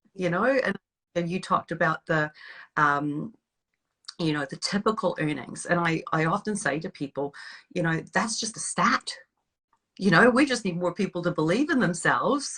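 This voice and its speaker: With a Canadian accent, a woman speaks at a moderate pace and a fairly low pitch, her bright, sharp tone and lively intonation broken by long, frequent pauses in a dry, close sound with no echo. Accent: Canadian twang. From western Canada. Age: 50s. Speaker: network marketer, former corporate worker. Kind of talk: interview.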